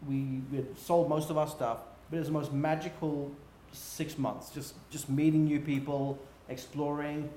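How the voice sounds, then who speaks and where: Over noticeable background noise and audible room echo, a man speaks with a fairly high pitch. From England. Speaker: business executive. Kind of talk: interview. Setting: livestream.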